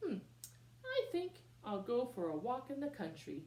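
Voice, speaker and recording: A female-sounding, put-on character voice comes at a fairly high pitch and moderate pace over clear background noise. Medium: read story. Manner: sing-song street call.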